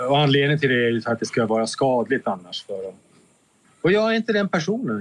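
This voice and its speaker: Very wide pitch swings run through a man's speech. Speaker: exonerated former prisoner. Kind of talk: interview. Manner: halting.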